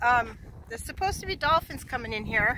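Noticeable background noise is present throughout. The sound itself is dry, with no echo. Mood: happy, relaxed. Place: boat. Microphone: phone near.

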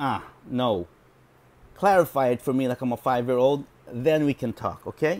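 A man's medium-pitched voice at a moderate pace, with ordinary pitch variation and long, frequent pauses. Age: 40s. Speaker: video blogger reviewing books. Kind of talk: casual monologue. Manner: hesitant, with many fillers. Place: home room. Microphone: earbuds.

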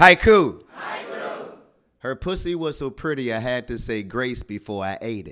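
A man speaks in a playful, animated tone. Crowd noise fills the background. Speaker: spoken word poet. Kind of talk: spoken word poetry. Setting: stage with audience at open mic. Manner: animated, punchy crowd-working delivery with repeated haiku cues, pauses for laughs; bold, playful and joking, with comic timing. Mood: playful, bawdy humor. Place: stage. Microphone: studio mic.

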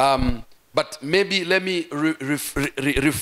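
Ordinary pitch variation over a quiet background. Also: man. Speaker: pastor. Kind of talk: sermon. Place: church. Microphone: handheld.

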